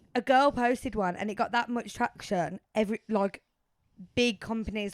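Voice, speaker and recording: A woman with a Birmingham accent and fairly even intonation, dry and close with no echo, in a very clean recording against a silent background. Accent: Brummie. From Birmingham, England. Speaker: podcast co-host. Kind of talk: casual chat.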